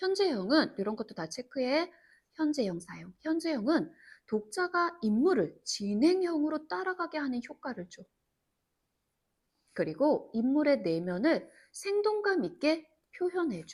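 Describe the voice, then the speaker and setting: The pace is fairly slow, broken by long, frequent pauses. Loudness swings a lot and pitch moves through very wide swings. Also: woman, high pitch for a woman. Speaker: Korean literature tutor. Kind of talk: lecture. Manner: casual, informal speech.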